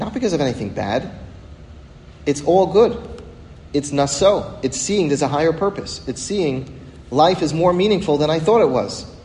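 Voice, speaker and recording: Speaking at a moderate pace, a man uses a fairly high pitch and lively intonation. Long, frequent pauses and audible room echo mark the clip. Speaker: rabbi teaching a weekly class. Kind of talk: religious lecture.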